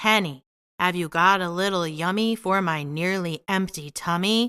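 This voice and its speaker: A woman uses a put-on character voice at a medium pitch. She speaks at a moderate pace in a very clean recording with a silent background. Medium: read story. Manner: greedy, demanding.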